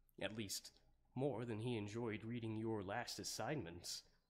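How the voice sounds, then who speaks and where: A man uses a put-on character voice. He keeps a moderate pace and a medium pitch. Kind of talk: ASMR roleplay. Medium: solo performance. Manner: hesitant, rambling, many filler words.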